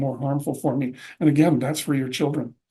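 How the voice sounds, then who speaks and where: In a Canadian prairie accent, a man talks at a fairly quick pace, his tone dark and mellow, his pitch fairly high and his intonation fairly even, with audible room echo. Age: 60s. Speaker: presenter. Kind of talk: lecture.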